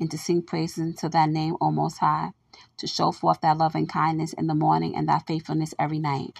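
A woman with a warm tone speaks at a fairly quick pace. The sound is dry and close, with no echo. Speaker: podcaster sharing her own poetry and scripture. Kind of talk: poem and scripture reading, devotional. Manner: warm, earnest, encouraging.

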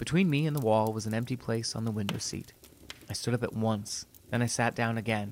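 The speaker reads aloud plainly, with ordinary pitch variation.

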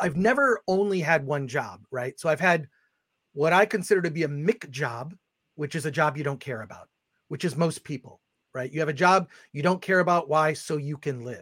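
An ordinary speaking voice from a fairly high-pitched man at a moderate pace, dry and close with no echo, on a very clean recording with a silent background. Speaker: film critic and publisher. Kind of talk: casual chat.

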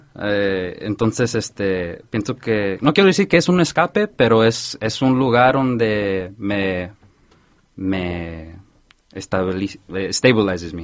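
A man's fairly low voice with ordinary pitch variation at a very slow pace. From Santa Ana, California. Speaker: DJ. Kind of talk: casual chat. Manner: code-switching Spanish and English; halting.

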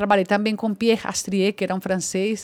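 A woman speaks with a Spanish accent at a medium pitch. Her intonation stays fairly even. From Colombia. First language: Spanish (speaking Portuguese). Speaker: actress. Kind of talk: casual chat.

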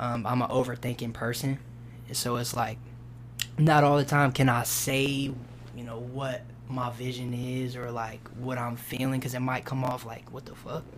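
A man with an American accent talks at a moderate pace and medium pitch, his intonation monotone and flat while his loudness swings widely. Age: 20s. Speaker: rapper. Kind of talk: casual interview. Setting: studio.

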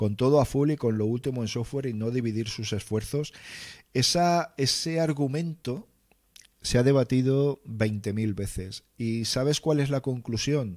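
A man speaks at a fairly slow pace with an ordinary speaking voice, medium pitch and ordinary pitch variation, in a very clean recording with a silent background. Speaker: livestream host, tech content creator. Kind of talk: casual livestream chat reading viewer comments. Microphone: close mic, near clipping.

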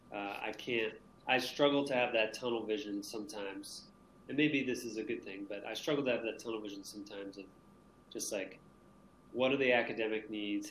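A man's medium-pitched voice in an American accent, fairly quick and fairly even in intonation, with audible room echo. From Maine, US. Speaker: teacher. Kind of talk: casual interview.

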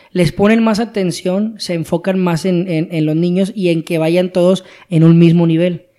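Fairly slow and with fairly even intonation, the speaker talks in a Mexican accent. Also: man, high pitch for a man. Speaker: podcast co-host. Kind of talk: casual chat.

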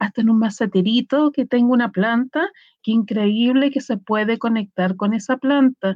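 A woman's fairly high, somewhat breathy voice. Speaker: tarot reader and shamanic practitioner. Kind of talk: casual chat. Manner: simple plain speech.

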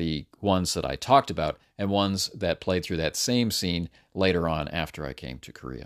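A man with a very deep, low voice and vocal fry talks at a moderate pace with lively intonation and big swings in loudness. The sound is dry and close with no echo, on a very clean recording with a silent background. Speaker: podcast host, role-playing game master. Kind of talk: solo podcast monologue. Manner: halting.

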